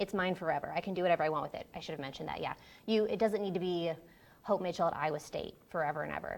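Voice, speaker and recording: Her pitch fairly low, a woman talks with ordinary pitch variation. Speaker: librarian running a workshop. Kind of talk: workshop presentation. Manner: fast.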